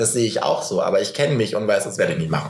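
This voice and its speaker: Over noticeable background noise, a man talks at a very fast pace and a medium pitch. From northern Germany. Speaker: podcast host. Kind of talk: casual chat.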